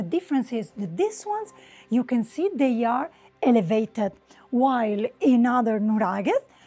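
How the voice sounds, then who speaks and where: Here a woman speaks at a moderate pace. Her tone is dark and mellow. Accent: Sardinian. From Sardinia, Italy. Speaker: travel writer and travel designer. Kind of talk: on-site travel guide talk to camera. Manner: casual, unscripted.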